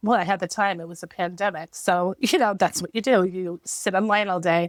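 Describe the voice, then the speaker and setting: A woman with a New York accent speaks at a moderate pace with ordinary pitch variation, her sound dry and close with no echo on a very clean recording against a silent background. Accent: heavy New York. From New York, USA. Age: 50s. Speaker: writer, former ESL teacher. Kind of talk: podcast interview answer. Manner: casual, conversational.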